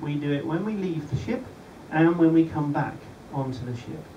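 Light background noise and audible room echo accompany a man speaking at a moderate pace with ordinary pitch variation. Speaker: presenter. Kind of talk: safety briefing talk. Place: boat. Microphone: camera far.

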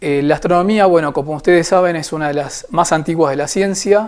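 A man talks at a fairly high pitch with ordinary pitch variation against a quiet background. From Argentina, Buenos Aires. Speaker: amateur astronomer. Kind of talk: informal talk to camera. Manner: hesitant, frequent filler 'eh'. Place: home room. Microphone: lapel.

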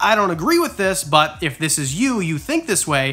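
Bright and sharp in tone, a man's voice moves at a moderate pace with lively intonation. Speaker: reptile keeper youtuber. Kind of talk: casual vlog chat. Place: home room.

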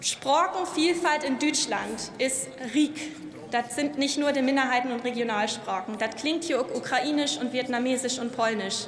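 Light background noise and audible room echo surround a woman's voice. Her pitch is high, with ordinary pitch variation. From northern Germany, North Frisia. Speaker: member of parliament. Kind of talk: parliamentary speech. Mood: warm, earnest. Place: hall. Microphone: podium.

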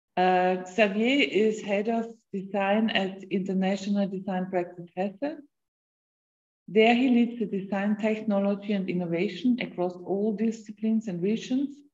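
A somewhat breathy woman speaks at a moderate pace with fairly even intonation over a quiet background. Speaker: university lecturer. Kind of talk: moderating a lecture Q&A. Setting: video call. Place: home room. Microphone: video call.

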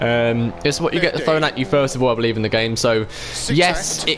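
Music plays behind a man with a British accent who speaks at a fairly quick pace with lively intonation. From UK. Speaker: gaming live streamer. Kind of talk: live gameplay commentary. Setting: home live stream. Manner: animated.

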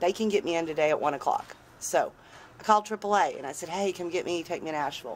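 With light background noise, a woman with a fairly low voice talks at a fairly quick pace with ordinary pitch variation. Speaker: van dweller vlogger. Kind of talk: casual vlog chat. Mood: wry, mildly exasperated. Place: street. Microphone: phone near.

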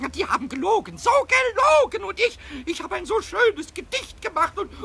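A man puts on a character voice at an extremely high pitch. He goes at a fairly quick pace, with clear background noise behind him. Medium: audio drama. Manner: whiny, stammering.

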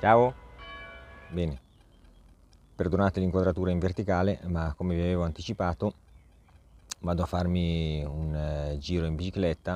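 At a moderate pace, a man speaks in a very deep, low voice with fairly even intonation. His long pauses come often, and the sound is dry with no echo. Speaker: tech product reviewer, video creator. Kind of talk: product review vlog. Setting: outdoors, riding an e-bike. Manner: casual, chatty with many fillers.

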